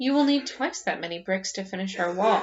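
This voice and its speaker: Someone is doing a put-on character voice. The delivery is fairly quick. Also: woman. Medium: read story.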